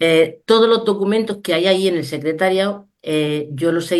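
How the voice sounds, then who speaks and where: Against a quiet background, a woman with a Spanish accent speaks at a fairly slow pace. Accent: Peninsular Spanish. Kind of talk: Q&A answer on a video call. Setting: video call.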